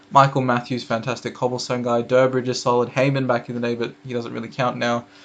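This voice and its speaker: A man's fairly quick, flat, monotone delivery. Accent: Australian. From Australia. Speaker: cycling YouTuber. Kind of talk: casual commentary video. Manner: casual, hesitant with fillers.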